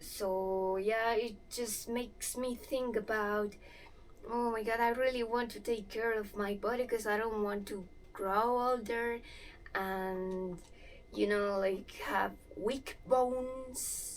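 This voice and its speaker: In a room with audible echo, a woman with a Spanish accent speaks very slowly at a fairly high pitch with fairly even intonation. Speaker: movement vlogger. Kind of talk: casual vlog while exercising. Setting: in-laws' house.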